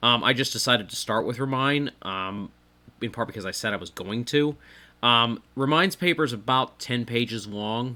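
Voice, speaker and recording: A man's bright, sharp voice at medium pitch and moderate pace, ordinary pitch variation, on a very clean recording with a silent background. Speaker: podcast host reading and commenting on a paper. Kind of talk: reading aloud with commentary. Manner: hesitant, many fillers.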